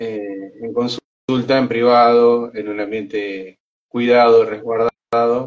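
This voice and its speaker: This man's voice sits at a medium pitch, monotone and flat at a very slow pace. His loudness swings widely. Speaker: consultant on emotional conflicts. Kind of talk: live-stream conversation. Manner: soft-spoken, speaks quietly; halting, many fillers and repetitions.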